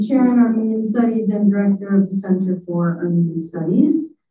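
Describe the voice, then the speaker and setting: A woman's fairly high voice at a moderate pace, with ordinary pitch variation, light background noise and audible room echo. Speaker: history professor and event organizer. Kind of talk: formal event introduction. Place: hall.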